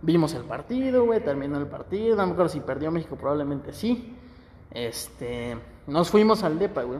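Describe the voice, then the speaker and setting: A fairly high-pitched male voice, its pitch swinging very widely. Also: moderate pace. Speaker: podcast co-host. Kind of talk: casual chat.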